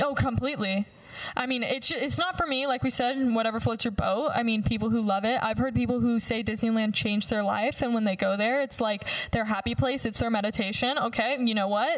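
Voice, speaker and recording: In an American accent, a woman with a fairly high voice talks at a fairly quick pace and very even loudness over noticeable background noise. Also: ordinary pitch variation. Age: 20s. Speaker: former beauty pageant winner. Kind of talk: casual chat. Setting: studio.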